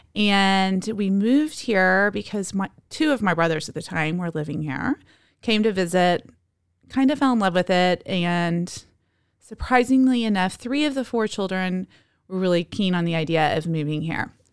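Over a silent background on a very clean recording, a woman with a plain, everyday voice speaks at a medium pitch and moderate pace, her intonation lively. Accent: American. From Texas, Dallas. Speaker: yoga teacher. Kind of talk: casual chat.

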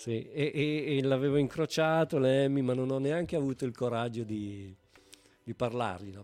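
Here is a man with a plain, everyday voice at a medium pitch. His pace is moderate and his pitch variation ordinary. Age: 50s. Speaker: bass player and beer brewer. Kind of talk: casual chat.

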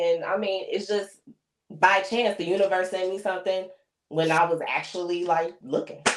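A normal speaking voice with an American accent, fairly even intonation and a moderate pace. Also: woman. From Chicago. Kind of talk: casual chat.

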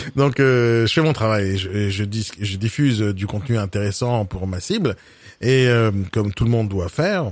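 A man speaks in a normal speaking voice, fairly low in pitch, with ordinary pitch variation at a fairly slow pace. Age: 40s. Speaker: podcast host. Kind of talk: interview.

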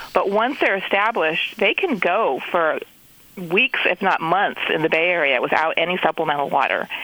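Background noise is noticeable here. The speaking pace is moderate. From Netherlands. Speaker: horticulture expert. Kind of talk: interview. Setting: phone call from Bay Area.

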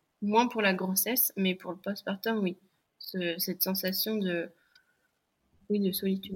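A woman speaks at a fairly slow pace, medium in pitch and somewhat breathy. Her intonation is flat and monotone, broken by long, frequent pauses. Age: 30s. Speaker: mother and app founder. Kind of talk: interview testimony. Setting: podcast microphone.

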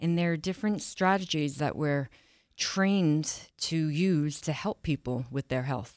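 With an American accent, a woman speaks at a fairly slow pace in a very deep, low pitch, her loudness very even and her pitch variation ordinary. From Long Island, New York. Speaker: wellness coach. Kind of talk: casual interview chat.

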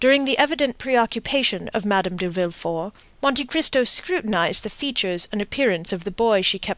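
Plain, read-aloud delivery

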